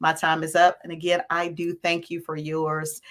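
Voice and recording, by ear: A woman speaks at a moderate pace in a low pitch, raspy with a fairly bright tone and monotone, flat intonation.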